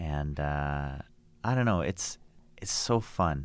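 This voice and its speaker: A man with a Canadian accent speaks at a very slow pace in a very deep, low voice with lively intonation. The recording is very clean, with a silent background. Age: 30s. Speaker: entrepreneur. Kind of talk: interview.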